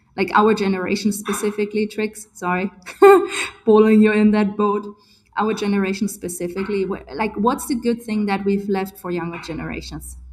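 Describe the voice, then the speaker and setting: Over noticeable background noise, a woman speaks at a fairly quick pace in a medium pitch. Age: 40s. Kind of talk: casual group video call discussion. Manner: animated.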